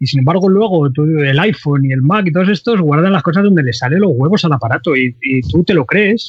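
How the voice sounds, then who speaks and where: With a normal speaking voice, a man talks at a fairly quick pace and fairly high pitch, his intonation lively, with hardly any pauses and very even loudness. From Andalusia, Cádiz. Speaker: 3D software trainer and forum administrator. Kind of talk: casual interview chat.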